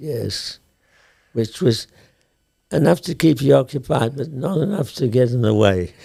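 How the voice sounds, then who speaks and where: Speaking at a fairly slow pace with long, frequent pauses, a man uses lively intonation at a medium pitch, his tone dark and mellow and somewhat breathy. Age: 80s+. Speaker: documentary filmmaker. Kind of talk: interview answer.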